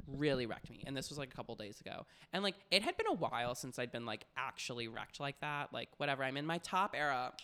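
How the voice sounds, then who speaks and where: Very fast, animated delivery with hardly any pauses, a bright, sharp tone, and ordinary pitch variation. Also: man, fairly high pitch for a man. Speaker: podcast host. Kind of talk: casual banter. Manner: fast talker; animated, jokey.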